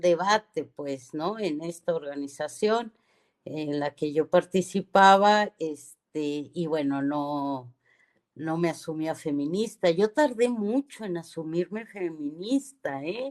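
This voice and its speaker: Speaking very slowly, a woman uses a fairly low pitch and lively intonation. Her voice sounds dry and close with no echo, against a quiet background. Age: 60s. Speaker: feminist radio host. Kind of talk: radio talk show discussion.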